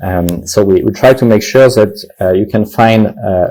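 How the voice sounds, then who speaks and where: A man with a French accent has a fairly low pitch and ordinary pitch variation. His tone is dark, mellow and somewhat breathy. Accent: French accent, noticeable. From France. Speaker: tech company founder and CEO. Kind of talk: panel discussion interview. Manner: halting, many fillers.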